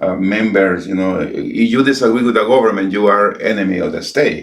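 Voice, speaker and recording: Moving at a fairly quick pace, a man talks with a fairly low pitch. His pitch variation is ordinary. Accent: Spanish. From El Salvador. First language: Spanish. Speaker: pastor. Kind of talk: interview. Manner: halting.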